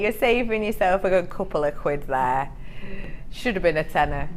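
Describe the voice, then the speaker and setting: A woman talks at a medium pitch with very wide pitch swings. Audible room echo surrounds her voice. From Cheshire, northern England. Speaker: shopping channel presenter. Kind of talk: sales pitch. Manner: animated.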